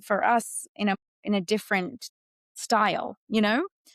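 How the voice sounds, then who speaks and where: On a very clean recording with a silent background, a woman with an Australian accent speaks at a fairly high pitch. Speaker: actress, voice actor. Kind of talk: interview answer.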